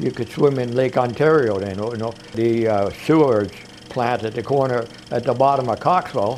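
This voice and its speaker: Noticeable background noise accompanies the recording. A man talks at a moderate pace with ordinary pitch variation. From Canada, Toronto (East York). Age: 70s. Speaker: retired music promoter. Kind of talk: reminiscing interview. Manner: halting.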